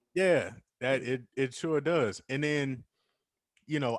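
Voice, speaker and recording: With an American accent, the man speaks on a very clean recording with a silent background. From US West Coast, San Jose, California. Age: 30s. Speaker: rapper. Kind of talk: casual chat.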